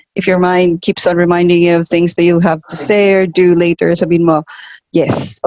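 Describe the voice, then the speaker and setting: A woman speaks fairly quickly at a fairly low pitch. Her intonation is monotone and flat. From Philippines. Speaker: tarot reader. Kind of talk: casual chat; tarot reading.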